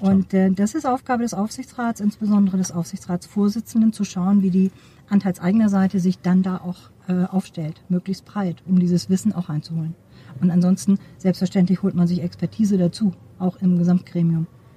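Recorded with a dry, close sound and no echo, a woman at medium pitch speaks at a fairly quick pace, somewhat breathy, her intonation fairly even. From Schleswig-Holstein, Neumünster. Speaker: supervisory board member and professor. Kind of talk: interview. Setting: outdoors at a conference.

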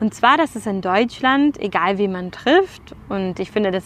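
The intonation is lively. The pace is very slow. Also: woman. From Germany. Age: 30s. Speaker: podcast host, event support entrepreneur. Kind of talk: solo monologue podcast. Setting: outdoors in a park.

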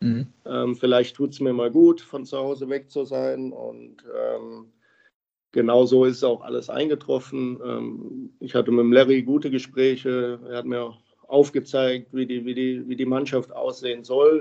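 The pace is fairly slow. A man talks with big swings in loudness. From Germany, Krefeld (Lower Rhine). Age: 30s. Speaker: professional ice hockey player. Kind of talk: interview. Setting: remote call from home. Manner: halting.

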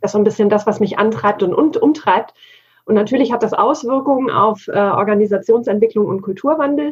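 Somewhat breathy and fairly high in pitch, a woman speaks at a fairly quick pace with ordinary pitch variation. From Bavaria, Germany. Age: 40s. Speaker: digital work consultant. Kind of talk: interview conversation.

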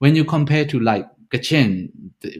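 Speaking at a fairly quick pace in a Shan State accent, a man is heard on a very clean recording with a silent background. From Myanmar, Shan State. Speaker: PhD researcher. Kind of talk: interview discussion. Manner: halting, repeats words.

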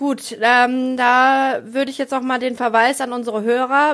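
Her pitch is high and her intonation fairly even. The woman speaks at a fairly slow pace. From rural Germany. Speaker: stand-up comedian and podcast co-host. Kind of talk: casual chat. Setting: video call.

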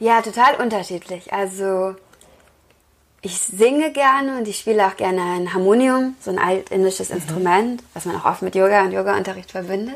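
A normal speaking voice from a woman, medium in pitch, with moderate pace and ordinary pitch variation. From Lower Rhine, Germany (Wesel). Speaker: yoga teacher and author. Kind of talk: interview.

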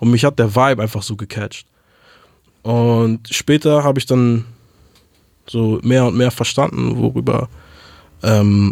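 A man at a medium pitch talks with ordinary pitch variation. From Hamburg, Germany. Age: 20s. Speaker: rapper. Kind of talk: interview. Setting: studio.

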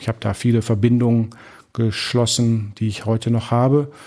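A man talks at a fairly quick pace in a dark, mellow tone with a medium pitch. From Dortmund, Germany. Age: 40s. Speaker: pastor. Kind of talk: interview.

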